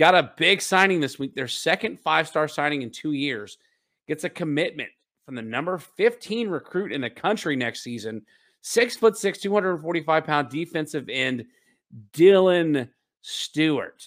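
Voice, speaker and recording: A man with an ordinary speaking voice talks at a fairly slow pace and a fairly high pitch, with lively intonation. The recording is very clean, with a silent background. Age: 30s. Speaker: sports podcast host. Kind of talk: casual chat.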